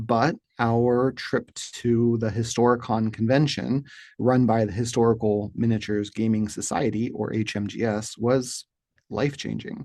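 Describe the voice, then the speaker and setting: In a quiet background, a man with an American accent speaks in a dark, mellow tone with monotone, flat intonation. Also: medium pitch for a man, moderate pace. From US, rural Appalachia. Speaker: wargaming hobby channel host. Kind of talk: scripted monologue to camera. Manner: formal.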